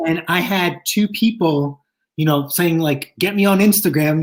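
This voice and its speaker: Someone talks at a moderate pace with a Long Island accent. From Long Island, New York.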